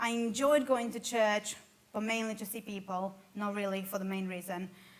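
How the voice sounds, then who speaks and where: With a Romanian accent, a woman with a fairly high pitch speaks at a moderate pace in a flat monotone. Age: 20s. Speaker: church member sharing life story. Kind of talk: testimony.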